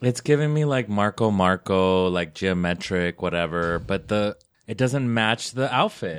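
In an American accent, a man speaks fairly slowly with a fairly low pitch and lively intonation against a quiet background. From Nevada, Las Vegas. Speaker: podcast host. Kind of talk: casual chat. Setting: studio. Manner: animated.

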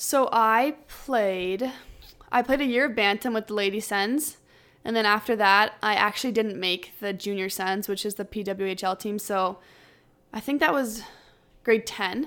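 In a very clean recording with a silent background, a woman with a Canadian accent speaks at a moderate pace in a normal speaking voice, her pitch fairly high and her pitch variation ordinary. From Ottawa, Canada. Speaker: pro ice hockey player. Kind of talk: casual interview.

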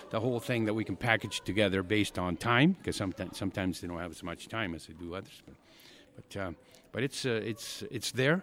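Talking at a very fast pace, a man uses a fairly low pitch with ordinary pitch variation. His loudness swings widely. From Argentina. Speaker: paddle sport coach and promoter. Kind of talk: interview. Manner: halting, many fillers.

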